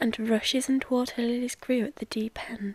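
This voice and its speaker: A soft-spoken voice with a British accent talks at a moderate pace. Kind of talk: audiobook reading, bedtime story.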